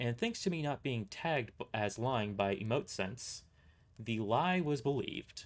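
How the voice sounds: Lively intonation runs through this. It is a natural reading voice.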